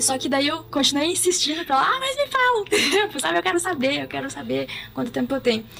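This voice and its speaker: Noticeable background noise sits under this clip. A woman speaks at a very fast pace. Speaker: cancer patient in palliative care. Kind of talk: interview testimony. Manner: hesitant, many fillers.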